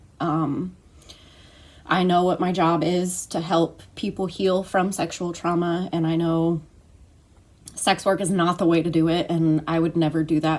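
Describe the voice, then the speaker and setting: Shaky and monotone, a woman talks at a fairly slow pace with flat intonation. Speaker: trauma recovery coach. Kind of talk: personal vlog testimony. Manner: halting, many fillers and repeats; shaky voice.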